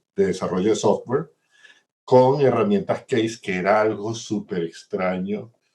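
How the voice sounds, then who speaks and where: Speaking at a fairly slow pace, a man uses lively intonation and a dark, mellow tone. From Venezuela. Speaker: systems engineer, insurance executive. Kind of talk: interview. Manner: hesitant with fillers.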